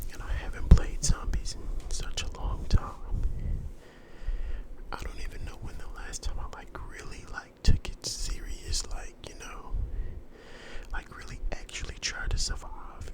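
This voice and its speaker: A man whispers at a fairly slow pace with long, frequent pauses. His loudness swings a lot over noticeable background noise. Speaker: gaming ASMR YouTuber. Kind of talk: casual talk to camera, voiceover commentary. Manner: relaxed, casual, conversational.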